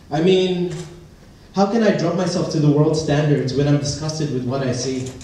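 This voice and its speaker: Moderate speed, normal pitch movement, and clear background noise. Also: man. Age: 20s. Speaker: spoken word performer. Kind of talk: spoken word poetry performance at open mic night. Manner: personal, emotional, rhythmic delivery.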